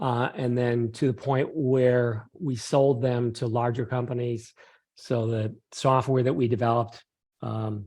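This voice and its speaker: A man speaks at a medium pitch, somewhat breathy and monotone, his intonation flat. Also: quiet background. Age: 60s. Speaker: PhD scientist. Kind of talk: interview.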